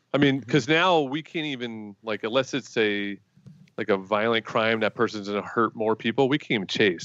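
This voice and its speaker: A man with an American accent speaks in a normal speaking voice at a medium pitch, with ordinary pitch variation and a fairly quick pace. The sound is dry and close, with no echo. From Connecticut, US. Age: 40s. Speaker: guest, gun group member. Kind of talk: casual chat. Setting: video call.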